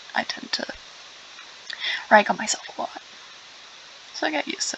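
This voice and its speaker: Fairly quick speech from a woman, with noticeable background noise behind it. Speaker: gaming streamer. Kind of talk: gameplay commentary. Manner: casual, chatty.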